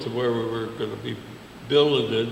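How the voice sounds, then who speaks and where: Amid noticeable background noise, the speech keeps a fairly even intonation. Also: man. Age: 80s+. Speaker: WWII veteran. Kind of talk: interview answer.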